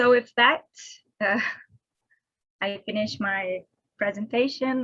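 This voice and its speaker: With a non-native accent, a woman speaks in a fairly high, bright, sharp tone with fairly even intonation. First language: not English. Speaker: conference presenter, reef researcher. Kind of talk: conference talk and Q&A. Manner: halting, many fillers.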